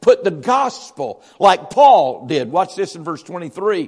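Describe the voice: At a fairly slow pace, a man talks with a slightly mellow tone.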